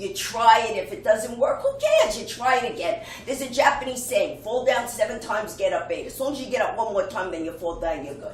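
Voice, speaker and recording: A woman speaks in a high pitch with very wide pitch swings and an energetic tone. Noticeable background noise runs underneath. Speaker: motivational speaker. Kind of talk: keynote speech. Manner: humorous, energetic.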